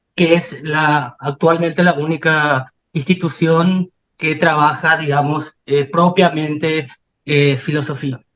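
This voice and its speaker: Speaking at a very slow pace, a man delivers his words in a monotone, flat intonation. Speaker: philosophy researcher presenting at a conference. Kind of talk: academic conference talk.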